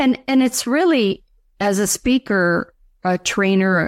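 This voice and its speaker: Speaking at a fairly slow pace with ordinary pitch variation, a plain, everyday voice comes through in a dry, close sound with no echo over a silent background on a very clean recording. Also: woman. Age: 60s. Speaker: speaker trainer and coach. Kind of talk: interview.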